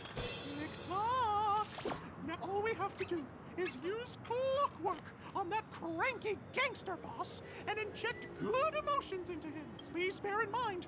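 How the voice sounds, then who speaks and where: An extremely high-pitched cartoonish character voice moves at a fairly slow pace over loud background noise. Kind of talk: cartoon mascot voice. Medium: video game. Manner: exclamatory, lively.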